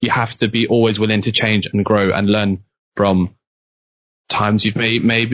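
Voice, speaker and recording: A man of medium pitch speaks with a British accent, the sound dry and close with no echo. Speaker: university student. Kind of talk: casual chat. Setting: podcast. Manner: fast.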